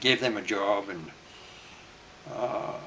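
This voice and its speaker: The speaker is a man talking at a fairly slow pace. Noticeable background noise runs behind him. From Maine, US. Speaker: World War Two veteran. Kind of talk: oral history interview. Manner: halting, with frequent fillers.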